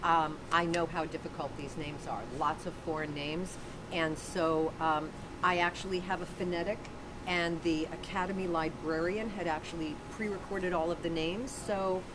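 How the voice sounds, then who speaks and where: The intonation stays fairly even at a moderate pace. There is noticeable background noise. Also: woman. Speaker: announcer. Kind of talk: interview answer. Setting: backstage.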